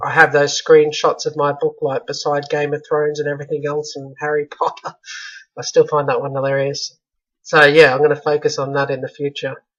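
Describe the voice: A strained voice moves at a fairly quick pace with monotone, flat intonation. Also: man, fairly high pitch for a man, fairly bright tone.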